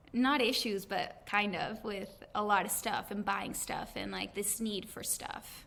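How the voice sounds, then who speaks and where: With a bright, sharp tone and vocal fry, a woman speaks at a fairly slow pace with hardly any pauses. Her pitch is medium and varies in an ordinary way. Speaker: podcast host. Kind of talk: casual podcast interview.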